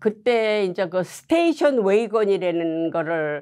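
Against a quiet background, a woman at a medium pitch speaks at a very slow pace with very wide pitch swings. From South Korea (Seoul and Busan). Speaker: Korean American immigrant sharing life story; interviewee. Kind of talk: oral history interview. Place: studio.

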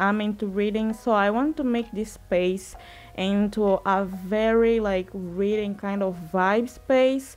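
A woman at a fairly slow pace, with faint music in the background. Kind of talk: casual vlog chat. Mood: warm, hopeful. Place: empty room. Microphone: phone near.

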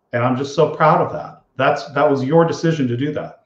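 Moderate pace and a fairly high pitch from a man, somewhat breathy in tone. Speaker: financial advisor. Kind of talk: live show address to clients. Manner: sincere, conversational.

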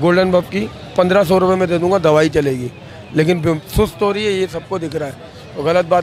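Speech at a moderate pace with fairly even intonation comes through a dry sound with no echo and light background noise. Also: man. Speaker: market seller. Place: market. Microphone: handheld.

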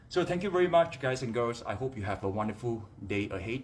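Somewhat breathy, a man talks at a moderate pace with lively intonation over light background noise. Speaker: fitness trainer. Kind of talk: casual live-stream chat. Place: home room. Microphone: phone near.

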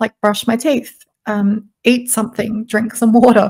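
With an Australian accent, a woman speaks in a fairly high pitch and a flat, monotone intonation against a quiet background. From South Australia, Adelaide; South Australia. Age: 20s. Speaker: podcast guest, voice coach. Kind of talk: interview. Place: home room. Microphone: studio mic.

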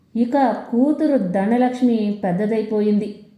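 A woman's fairly high pitch with a dark, mellow tone and ordinary pitch variation, at a moderate pace, amid strong room echo.

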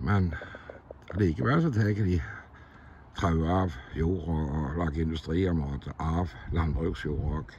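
Speech comes at a very slow pace with ordinary pitch variation. Light background noise sits under a dry sound with no echo. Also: man, very deep, low pitch for a man. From Norway. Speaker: landowner commenting on a municipal complaint. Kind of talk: monologue commentary. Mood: frustrated, critical. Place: open country. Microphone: phone near.

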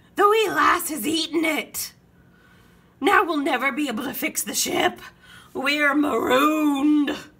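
A woman shouts in a put-on character voice with a high pitch, moving at a fairly slow pace with long, frequent pauses. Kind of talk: reading a children's book aloud. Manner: yelling.

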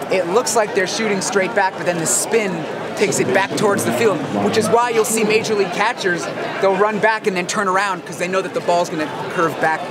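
A man talks at a fairly quick pace. Loud background noise runs behind him. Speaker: ball-hawking vlogger. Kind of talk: casual vlog chat. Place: stadium.

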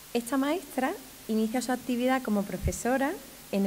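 A woman speaks in a dark, mellow tone with ordinary pitch variation. Light background noise is present. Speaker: municipal education official presenting the ceremony; presenter. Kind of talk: ceremony presentation. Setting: stage with audience. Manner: formal. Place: hall. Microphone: podium.

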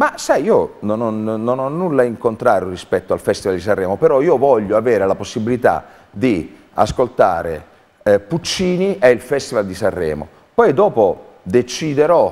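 His pitch rises and falls very widely. The man keeps a moderate pace. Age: 50s. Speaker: theatre artistic director. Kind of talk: interview. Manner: halting. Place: studio. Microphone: lapel.

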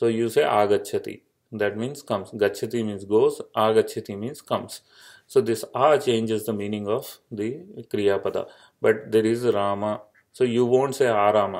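Speaking with an Indian accent at a moderate pace, a man is captured in a very clean recording with a silent background. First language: Indian language. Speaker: Sanskrit grammar teacher. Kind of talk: lecture. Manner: halting with many fillers.

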